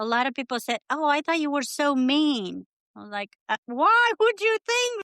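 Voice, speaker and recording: A woman's high, bright, sharp voice with a Romanian accent, very wide pitch swings and a moderate pace, in a dry, close sound with no echo. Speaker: immigrant writer, guest. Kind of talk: casual interview.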